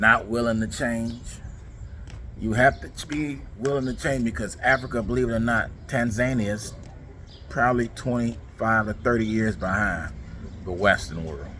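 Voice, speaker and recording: In a plain, everyday voice, a man keeps a medium pitch, ordinary pitch variation, and a moderate speed. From United States. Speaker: travel vlogger. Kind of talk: vlog monologue. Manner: casual, conversational.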